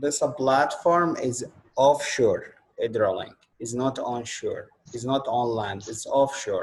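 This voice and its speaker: A man with an Arabic accent at a very slow pace. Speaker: course instructor. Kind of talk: online lecture. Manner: halting, many fillers.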